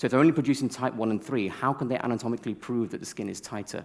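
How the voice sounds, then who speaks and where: Over a silent background in a very clean recording, a man speaks at a medium pitch. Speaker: cosmetic doctor and lecturer. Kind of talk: conference talk. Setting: stage with audience. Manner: fast.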